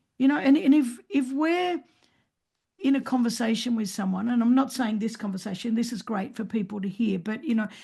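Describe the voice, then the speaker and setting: A woman with an Australian accent speaks in a fairly high pitch with a dark, mellow tone and ordinary pitch variation. She keeps a moderate pace but leaves long, frequent pauses. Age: 60s. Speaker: speaker and author. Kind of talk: podcast interview. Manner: animated.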